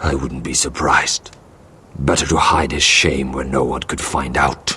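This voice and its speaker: Growling in a cartoonish character voice, a man with a very deep, low pitch keeps a monotone, flat intonation at a moderate pace. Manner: blunt, curt.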